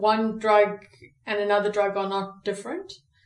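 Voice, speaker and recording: Room echo is audible around a woman's voice. Her pitch is medium. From South Africa. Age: 30s. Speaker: recovery speaker. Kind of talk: personal testimony interview. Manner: halting, many fillers.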